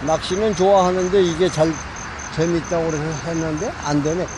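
A man with a fairly high pitch speaks at a moderate pace with fairly even intonation. The sound is dry with no echo, and background noise is noticeable. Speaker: recreational angler. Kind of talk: interview answer. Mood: relaxed, slightly rueful. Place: waterside. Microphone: phone near.

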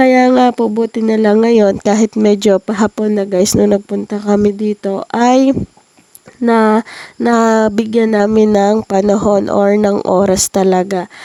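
In a dry, close recording with no echo, a woman speaks at a fairly slow pace in a fairly high voice with a dark, mellow tone, very even loudness and monotone, flat intonation. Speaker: vlogger. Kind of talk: casual vlog narration. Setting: outdoors on a farm.

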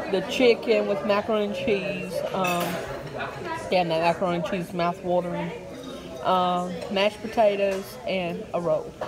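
Over crowd noise in the background, a woman speaks at a fairly slow pace with long, frequent pauses. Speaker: vlogger filming the family. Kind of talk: casual vlog chat. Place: cafe. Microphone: phone near.

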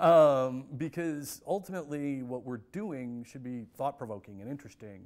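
This man has an American accent and a medium pitch. He talks at a moderate pace with ordinary pitch variation. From US Midwest. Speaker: film center director and professor. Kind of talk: interview. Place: hall. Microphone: lapel.

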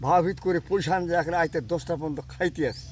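A man is talking. His pitch is high. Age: 80s+. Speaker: farmer. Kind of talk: casual interview.

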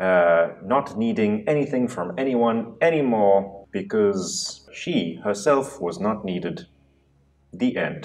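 With lively intonation, a man delivers his words at a very slow pace. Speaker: panel host or discussant. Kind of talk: casual panel discussion. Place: studio. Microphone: lapel.

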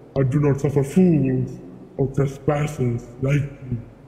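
At a fairly slow pace, a man talks at a medium pitch, with a slight echo and clear background noise. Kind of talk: fantasy epic oration. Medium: machinima. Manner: imperious, threatening.

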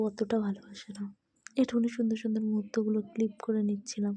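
A woman's fairly high, somewhat breathy voice with a dark, mellow tone. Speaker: lifestyle vlogger. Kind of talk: casual vlog narration. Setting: restaurant. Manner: chatty.

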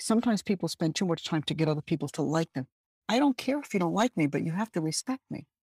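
Very fast and somewhat breathy, a woman with a fairly low pitch and lively intonation speaks in a dry, close sound with no echo on a very clean recording with a silent background. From Birmingham, England, Caribbean parents. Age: 60s. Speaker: retired corporate diversity executive. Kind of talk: interview.

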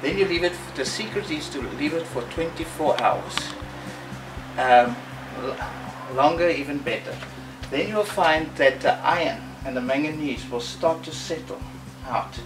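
A man at a fairly slow pace with ordinary pitch variation and long, frequent pauses, music in the background. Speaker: presenter. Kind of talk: tutorial. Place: garden.

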